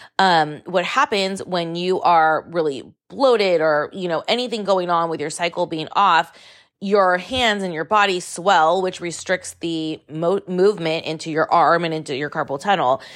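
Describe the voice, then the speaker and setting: A woman with a fairly low pitch and an animated tone speaks at a moderate pace with ordinary pitch variation, recorded very cleanly against a silent background. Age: 40s. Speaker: podcast host. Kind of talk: casual monologue.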